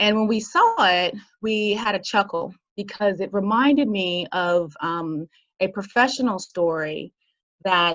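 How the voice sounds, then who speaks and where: A woman's medium-pitched voice in an American accent, fairly slow, with ordinary pitch variation. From United States. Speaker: business consultant and entrepreneur. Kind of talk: talk with slides. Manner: halting, many fillers.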